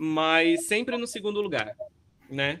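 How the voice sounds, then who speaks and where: A man's voice with a bright, sharp tone. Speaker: academic researcher. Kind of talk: online lecture talk.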